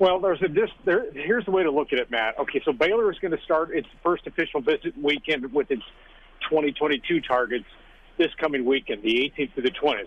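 At a fairly quick pace, a man with a fairly high pitch and lively intonation talks in an ordinary speaking voice. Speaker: sports analyst. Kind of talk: radio interview about sports.

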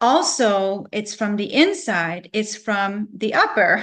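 The background stays quiet. A woman talks at a medium pitch, her pitch varying in an ordinary way. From Canada, Vancouver. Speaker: natural medicine practitioner and business owner. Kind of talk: interview.

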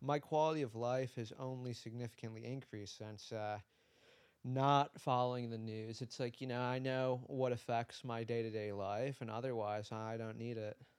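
In an American accent, a man speaks at a medium pitch and a moderate pace with monotone, flat intonation. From US Midwest (Detroit). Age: 20s. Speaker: visual artist. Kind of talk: casual interview chat.

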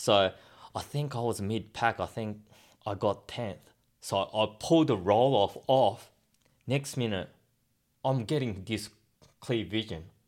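A man with an Australian accent speaks fairly slowly in a fairly low voice with ordinary pitch variation and long, frequent pauses, recorded very cleanly against a silent background. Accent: Australian-sounding English. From Japan, raised in Australia from age ten. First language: Japanese. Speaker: motocross test rider. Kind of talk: interview. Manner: halting.

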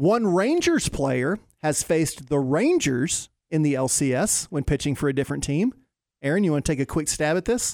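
An ordinary speaking voice comes through at a moderate pace with lively intonation and very even loudness. The recording is very clean, with a silent background and a dry, close sound with no echo. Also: man, fairly high pitch for a man. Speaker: sports radio contributor. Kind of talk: casual chat. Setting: studio.

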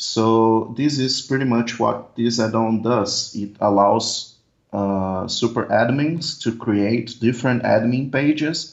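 Here a man with a Portuguese accent talks at a very slow pace. His pitch is medium, with ordinary pitch variation. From Brazil. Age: 20s. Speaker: software developer. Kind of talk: interview. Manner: halting.

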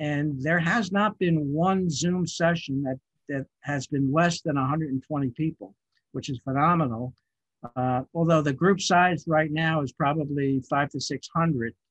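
A man with an American accent speaks at a fairly slow pace in a normal speaking voice, fairly high for a man with ordinary pitch variation, in a dry, close sound with no echo. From New York City (Queens). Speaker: podcast technical director. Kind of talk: interview.

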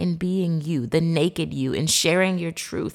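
A woman is speaking. Her intonation is lively. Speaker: therapeutic coach and podcast host. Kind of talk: motivational monologue. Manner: conscious of a polished broadcast voice.

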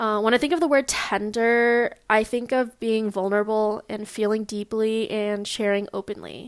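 With a Californian accent, a woman speaks at a moderate pace on a very clean recording with a silent background. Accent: Californian American. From US West Coast (Long Beach, California). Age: 20s. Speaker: podcaster. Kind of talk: solo monologue. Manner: hesitant, many fillers.

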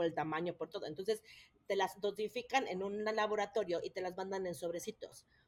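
With a plain, everyday voice, a woman speaks at a fairly quick pace and a medium pitch. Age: 30s. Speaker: mother of triplets. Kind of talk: personal story in interview.

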